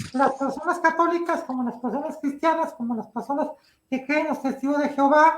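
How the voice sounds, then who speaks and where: A woman's high-pitched voice, fairly even in intonation, at a moderate pace. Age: 60s. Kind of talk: interview.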